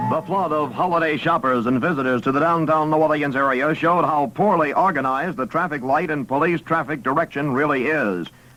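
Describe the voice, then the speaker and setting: Over noticeable background noise, a man with a fairly high pitch talks at a fairly quick pace with hardly any pauses, very even loudness and ordinary pitch variation. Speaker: radio newscaster. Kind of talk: 1950s radio newscast read. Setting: vintage AM radio aircheck.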